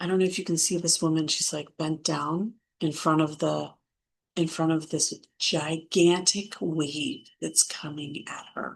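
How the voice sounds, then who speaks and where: A woman with a very deep, low voice and vocal fry speaks at a fairly slow pace. Her intonation stays fairly even against a quiet background. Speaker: spiritual content creator. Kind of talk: spiritual talk with oracle card reading.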